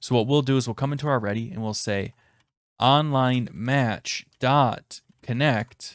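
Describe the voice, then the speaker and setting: A man has an ordinary speaking voice at medium pitch, talking at a fairly slow pace with fairly even intonation. The recording is very clean, with a silent background and dry, close sound with no echo. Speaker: programming tutorial youtuber. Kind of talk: tutorial. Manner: casual.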